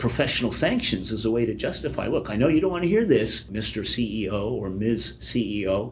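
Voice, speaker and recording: In a room with audible echo, a man talks at a moderate pace in a medium-pitched voice with ordinary pitch variation. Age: 60s. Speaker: public relations professor. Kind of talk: podcast interview.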